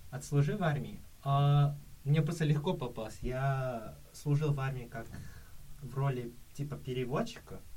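Somewhat breathy with a dark, mellow tone, a man talks at a fairly high pitch and a fairly slow pace with long, frequent pauses. Ordinary pitch variation comes through audible room echo. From Kazakhstan. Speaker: exchange student. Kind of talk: casual chat.

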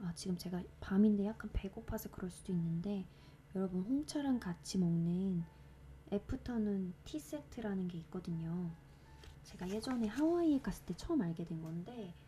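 Music plays behind a woman with a medium pitch. Her intonation is lively. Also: moderate pace. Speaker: podcast host reading poetry. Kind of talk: casual chat; reading poetry aloud.

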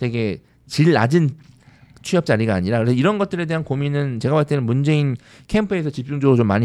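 A man's medium-pitched voice, dark and mellow in tone, with lively intonation at a fairly quick pace. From South Korea, Andong (North Gyeongsang). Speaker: education podcast host. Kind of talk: casual panel discussion on policy.

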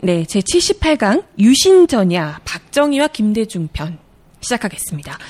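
A woman speaks very slowly, somewhat breathy, at a fairly high pitch with very wide pitch swings. The sound is dry and close with no echo. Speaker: announcer. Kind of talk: radio-style lecture hosting.

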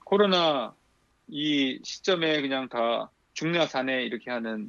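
Against a quiet background, a man with a normal speaking voice talks at a medium pitch. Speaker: pastor and church history lecturer. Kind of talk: lecture-style discussion.

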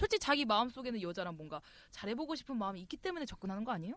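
A woman speaks at a very fast pace. Her fairly high voice moves in very wide pitch swings. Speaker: podcast co-host. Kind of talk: casual chat.

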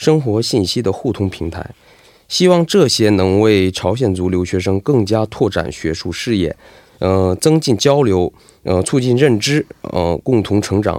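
Fairly low in pitch, a man talks at a fairly slow pace with lively intonation and a dark, mellow tone. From Heilongjiang, China (ethnic Korean). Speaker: graduate student and student association president. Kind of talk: radio interview. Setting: radio studio. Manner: halting, many filler sounds.

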